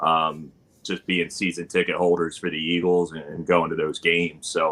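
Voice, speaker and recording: In a South Jersey accent, a man speaks at a moderate pace. His pitch is very deep and low. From South Jersey, US. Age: 40s. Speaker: high school teacher and barbecue content creator. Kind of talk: casual interview chat. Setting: live video stream.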